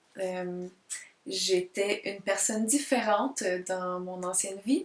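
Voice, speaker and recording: The woman talks very slowly, her medium-pitched voice following fairly even intonation. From Quebec. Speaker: multidisciplinary artist and spiritual vlogger. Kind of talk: casual self-introduction vlog. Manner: hesitant, many fillers; careful, deliberate diction.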